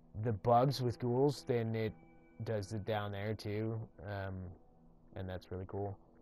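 A man mumbles at a very slow pace. Music plays in the background. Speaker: gaming tutorial creator. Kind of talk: casual gaming tutorial narration. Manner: mumbling, rambling.

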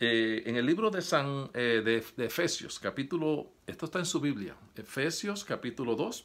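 A man with a fairly high pitch talks at a fairly slow pace, his voice making very wide pitch swings. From Puerto Rico. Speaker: preacher. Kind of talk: sermon. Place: home room. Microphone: phone near.

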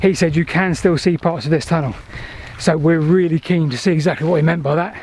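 The sound is dry, with no echo. A man speaks at a very fast pace with ordinary pitch variation. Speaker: video host exploring old railways. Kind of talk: casual vlog chat. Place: open country. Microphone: phone near.

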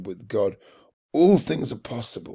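A man talks at a moderate pace. He has a British accent. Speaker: church devotional leader. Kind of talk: devotional with fervent prayer. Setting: online video. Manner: earnest, repetitive, fervent; warm, encouraging.

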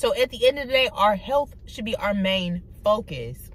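A woman speaks at a fairly slow pace in an animated tone with lively intonation. The sound is dry with no echo. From Detroit, Michigan (east side). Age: 20s. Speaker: YouTuber. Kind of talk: casual vlog monologue. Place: car. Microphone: phone near.

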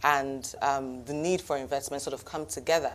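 A woman's intonation stays fairly even as she talks at a moderate pace. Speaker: guest. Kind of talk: interview answer. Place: studio. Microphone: lapel.

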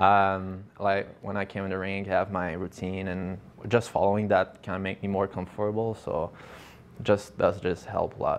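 At a moderate pace, a man talks in a fairly low pitch with flat, monotone intonation. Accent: French. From Quebec. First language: French. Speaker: professional hockey player. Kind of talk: interview. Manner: halting, with many fillers and repeats.

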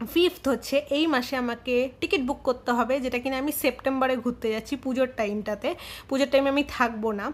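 With a high voice, a woman speaks using ordinary pitch variation. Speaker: lifestyle vlogger. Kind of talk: casual vlog narration. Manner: chatty.

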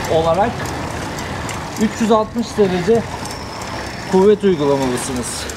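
A very slow pace over noticeable background noise. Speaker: cycling coach. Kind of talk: explanation while riding. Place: bicycle.

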